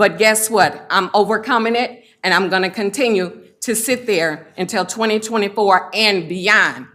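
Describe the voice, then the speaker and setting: In a bright, sharp tone, a woman talks at a fairly high pitch. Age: 60s. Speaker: public commenter, township official. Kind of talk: public comment at a meeting. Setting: county board meeting room.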